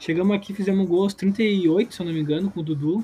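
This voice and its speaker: Fairly quick pace, fairly even intonation, and a high pitch from a man. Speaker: football podcast co-host. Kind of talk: casual chat.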